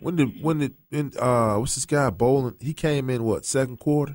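A normal speaking voice at a moderate pace, on a very clean recording with a silent background. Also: man. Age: 40s. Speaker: personal injury attorney, show sponsor. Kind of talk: casual sports chat. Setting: studio.

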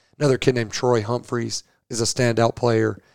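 A man with an American accent talks at a fairly quick pace in a medium-pitched, monotone, flat delivery. The recording is very clean with a silent background, and the sound is dry and close with no echo. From northwest Georgia, US South. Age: 40s. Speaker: high school football coach. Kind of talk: casual interview.

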